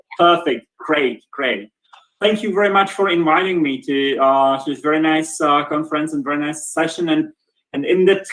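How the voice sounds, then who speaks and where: With a Czech accent, a man talks at a moderate pace. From Czech Republic, Brno. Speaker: professor, department head. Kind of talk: lecture. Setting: video call. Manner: halting, many repetitions.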